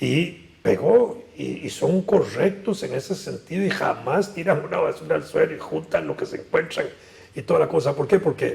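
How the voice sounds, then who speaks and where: A man keeps a moderate pace while noticeable background noise is present. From Costa Rica, San José. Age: 70s. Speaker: political analyst. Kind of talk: interview.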